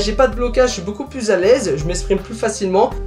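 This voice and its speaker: A man's speech comes at a fairly quick pace, with noticeable background noise behind it. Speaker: YouTuber. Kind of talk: casual vlog talk to camera. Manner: fast; not clearly articulated. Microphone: camera audio, some sound issues.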